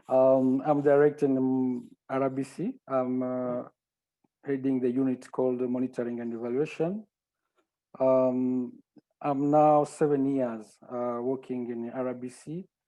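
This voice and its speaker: With a French accent and a dark, mellow tone, a man speaks at medium pitch and a fairly slow pace in monotone, flat intonation. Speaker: health monitoring and evaluation director. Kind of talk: panel self-introduction. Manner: halting, many fillers.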